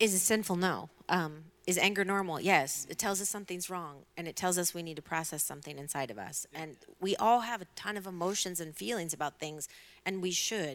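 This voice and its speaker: A woman has an unremarkable speaking voice, fairly low in pitch with ordinary pitch variation. She talks at a fairly quick pace with big swings in loudness. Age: 40s. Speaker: professional counselor and pastor. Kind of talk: panel discussion.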